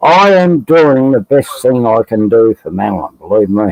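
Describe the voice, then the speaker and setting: A man talks with an Australian accent and lively intonation. His pace is fairly slow. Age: 60s. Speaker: expat livestream panelist. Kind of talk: casual chat.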